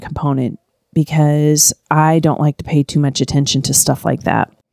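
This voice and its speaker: The dark, mellow voice comes through as a dry, close sound with no echo on a very clean recording with a silent background. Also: woman. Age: 50s. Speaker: podcaster doing a personal challenge diary. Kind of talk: solo personal audio diary, reflective monologue. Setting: recording at home with a pug snoring nearby. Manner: reflective, candid, conversational.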